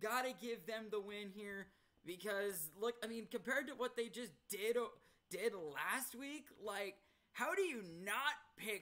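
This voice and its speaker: A man speaks in a raised, projected voice with a bright, sharp tone. His pace is fairly slow. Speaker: sports prediction vlogger. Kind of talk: casual commentary. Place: home room. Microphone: webcam.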